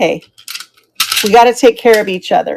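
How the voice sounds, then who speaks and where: Ordinary pitch variation marks a woman's fairly high-pitched speech. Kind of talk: live sales stream. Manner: animated.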